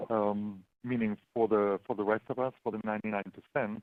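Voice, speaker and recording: At a moderate pace, a man with a German accent speaks at a medium pitch. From Germany. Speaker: local investing entrepreneur. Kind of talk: webinar presentation. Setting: online webinar. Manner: halting, many fillers.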